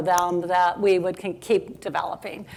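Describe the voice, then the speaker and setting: A woman in a normal speaking voice, medium-pitched, at a moderate pace. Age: 60s. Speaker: software company founder. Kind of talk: panel interview.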